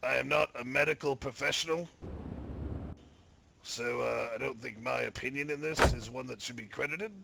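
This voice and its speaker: At a moderate pace, a raspy, put-on character voice comes with long, frequent pauses. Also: man, medium pitch for a man. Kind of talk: comic courtroom roleplay. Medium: game stream. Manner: cocky, heckling.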